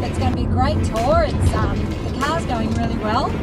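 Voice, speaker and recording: Loud music fills the background of a dry recording with no echo. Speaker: travel vlogger. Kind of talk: casual vlog chat. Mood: cheerful, relaxed. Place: car. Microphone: phone near.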